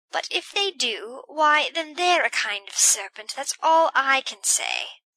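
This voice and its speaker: Using a put-on character voice, a woman speaks shrill and high at a fairly slow pace, her pitch swinging very widely. The sound is dry and close, with no echo. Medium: read story. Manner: shrill, aggrieved.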